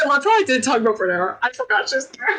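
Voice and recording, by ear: Fast and bright, the voice has a sharp tone and big pitch swings. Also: woman.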